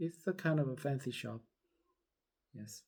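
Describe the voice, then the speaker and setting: A man with a non-native accent speaks in a dark, mellow tone with ordinary pitch variation. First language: not English. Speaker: vlogger. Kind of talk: casual personal storytelling. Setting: at home, just out of bed. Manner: halting, many fillers.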